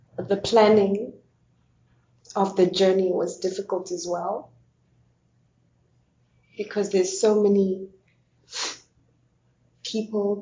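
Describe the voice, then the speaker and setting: Fairly slow, monotone, flat delivery from a woman at medium pitch. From Zimbabwe. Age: 30s. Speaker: asylum seeker. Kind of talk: oral history testimony.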